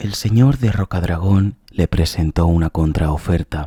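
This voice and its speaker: On a very clean recording with a silent background, a man whispers in a calm tone at a fairly slow pace, the sound dry and close with no echo. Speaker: ASMR narrator. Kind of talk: reading aloud. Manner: whispering; slow, calm.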